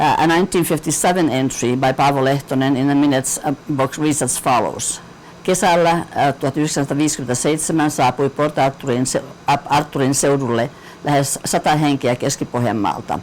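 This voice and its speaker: Very fast speech over noticeable background noise. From Finland. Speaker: community history speaker. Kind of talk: reading aloud. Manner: halting, many fillers.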